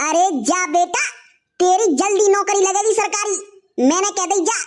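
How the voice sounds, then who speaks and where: A gruff, cartoonish character voice at an extremely high pitch, delivered at a moderate pace. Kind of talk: rustic cartoon comedy. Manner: gruff, insulting.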